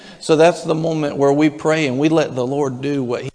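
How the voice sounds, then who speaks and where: Moderate pace and fairly even intonation over noticeable background noise. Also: man. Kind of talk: fervent congregational prayer, leading worship. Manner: rapt, intense, repeating 'thank you' in rising waves, even slipping into tongues; urgent, warm, coaxing the room.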